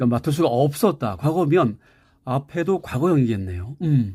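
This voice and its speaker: A man speaks in a fairly high pitch with very wide pitch swings, sounding somewhat breathy with a dark, mellow tone. The recording is very clean with a silent background. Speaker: English teacher. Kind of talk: lecture.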